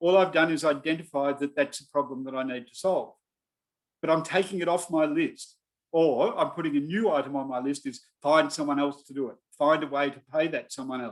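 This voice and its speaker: With an Australian accent, the speaker talks at a fairly quick pace, with big swings in loudness. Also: man, fairly high pitch for a man, ordinary pitch variation. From Australia (Melbourne). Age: 60s. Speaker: business adviser. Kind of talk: online talk.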